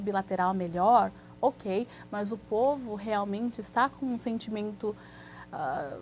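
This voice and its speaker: A woman speaks in a somewhat breathy voice with a fairly high pitch. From Brazil, Santos (São Paulo coast). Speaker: immigration lawyer. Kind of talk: TV interview.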